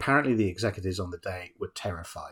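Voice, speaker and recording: A man speaks at a fairly quick pace in a very deep, low, somewhat breathy voice with ordinary pitch variation. The recording is very clean, with a silent background. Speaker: film podcast host. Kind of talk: casual chat. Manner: conversational, bantering.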